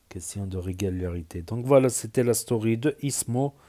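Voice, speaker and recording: Recorded very cleanly against a silent background, a man's fairly low, dark, mellow voice sounds dry and close with no echo. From south-west France. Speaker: YouTuber. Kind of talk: reaction video commentary. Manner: hesitant, many fillers.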